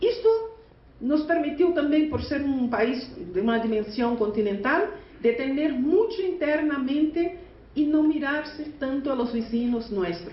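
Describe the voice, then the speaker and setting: A woman's high-pitched voice at a fairly slow pace, with very wide pitch swings and audible room echo. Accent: Portuguese. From Brazil. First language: Portuguese (speaking Spanish). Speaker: teachers' union leader. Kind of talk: conference speech. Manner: halting, with self-corrections.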